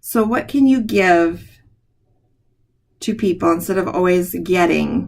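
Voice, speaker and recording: Very slow speech with a warm tone and lively intonation on a very clean recording with a silent background. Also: woman. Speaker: school principal. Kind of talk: school announcements. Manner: warm, encouraging.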